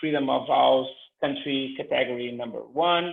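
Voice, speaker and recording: A man speaks with a non-native accent. He talks at a fairly slow pace. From Cape Verde. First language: not English. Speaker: panelist. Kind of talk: panel presentation. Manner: halting.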